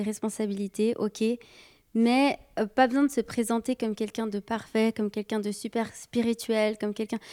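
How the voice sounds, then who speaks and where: A woman with a fairly high pitch and a dark, mellow tone talks at a moderate pace with fairly even intonation, her sound dry and close with no echo. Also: very clean recording, silent background. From Brazilian and Sicilian heritage. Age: 30s. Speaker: youth leader. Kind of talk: casual chat.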